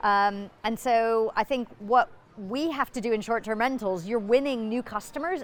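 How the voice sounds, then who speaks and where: A plain, everyday voice from a woman with an American accent, fairly high in pitch, lively in intonation, at a moderate pace, in a very clean recording with a silent background. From United States. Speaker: business executive. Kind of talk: conference interview. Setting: conference.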